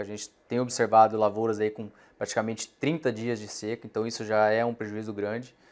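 Very fast speech from a man with a medium pitch. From Mato Grosso, Brazil (raised in Sorriso); Mato Grosso, Brazil. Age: 30s. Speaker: farm association director; guest. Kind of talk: interview. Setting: studio. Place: studio. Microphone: lapel.

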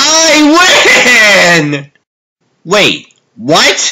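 A man puts on a character voice, raised and projected. His pitch is high and swings very widely. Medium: dub.

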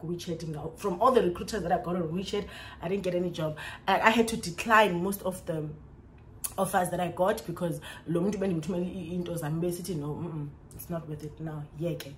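A woman's fairly low voice with a South African accent, animated in tone and fairly quick in pace, over light background noise. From South Africa, Xhosa-speaking. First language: isiXhosa. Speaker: vlogger, English teacher in China. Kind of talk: storytime vlog. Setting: recorded to camera at home. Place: home room. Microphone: phone near.

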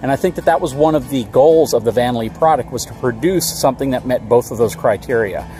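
A very fast male voice with hardly any pauses, dry and without echo, faint music in the background. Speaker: RV reviewer. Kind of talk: casual vlog commentary. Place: open country.

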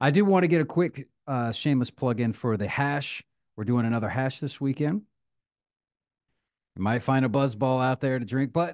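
A man talks at a moderate pace with ordinary pitch variation. He leaves long, frequent pauses against a quiet background. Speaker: podcast co-host. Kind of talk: casual podcast chat. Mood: relaxed, jokey. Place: home room. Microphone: studio mic.

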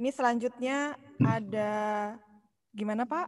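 Against a quiet background, a woman talks with ordinary pitch variation. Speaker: webinar moderator. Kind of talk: moderating. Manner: formal. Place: hall. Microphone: earbuds.

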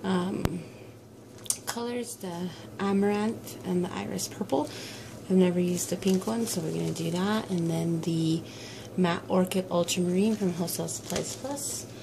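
Noticeable background noise sits behind a woman speaking. Her pace is moderate, with ordinary pitch variation. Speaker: soap maker. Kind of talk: casual tutorial talk to camera. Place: workshop. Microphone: camera far.

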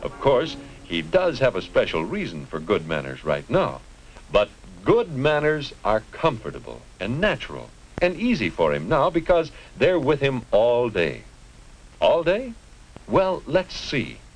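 A man with a General American accent talks at a fairly slow pace. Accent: mid-century general American. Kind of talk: 1950s educational film narration. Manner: formal, earnest, measured; didactic, pleasantly paternal, clearly enunciated. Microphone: old recording.

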